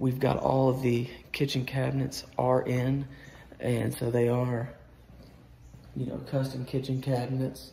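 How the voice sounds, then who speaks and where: A man talks at a fairly slow pace in a monotone, flat way. Light background noise and audible room echo sit behind him. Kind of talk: casual walkthrough tour. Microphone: phone near.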